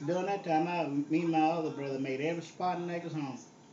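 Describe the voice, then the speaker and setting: Fairly high-pitched and fairly quick, a man speaks with a strong Southern US accent and ordinary pitch variation. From Southern US (Texas). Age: 70s. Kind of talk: casual reminiscing on a phone call.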